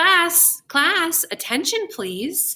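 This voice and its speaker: A woman uses a put-on character voice, raised and projected, at an extremely high pitch. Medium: read story. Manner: brisk, gushing.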